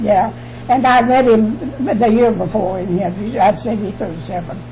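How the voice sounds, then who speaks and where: In a Southern US accent, a woman with medium pitch speaks at a moderate pace with lively intonation, amid audible room echo and noticeable background noise. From US South, Alabama. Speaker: interviewee. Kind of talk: oral history interview. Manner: halting.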